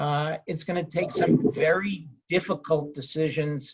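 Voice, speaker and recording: This man has a fairly high pitch and a somewhat breathy voice. He talks at a fairly slow pace with a New York accent. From New York City (Queens). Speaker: real estate lawyer. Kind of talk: panel discussion.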